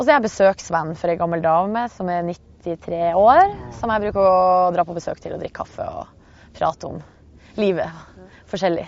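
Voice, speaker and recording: This woman has an unremarkable speaking voice at a medium pitch, with ordinary pitch variation. Her loudness swings widely while she keeps a moderate pace. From Northern Norway (Hamarøy). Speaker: radio host. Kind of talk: casual chat. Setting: outdoors.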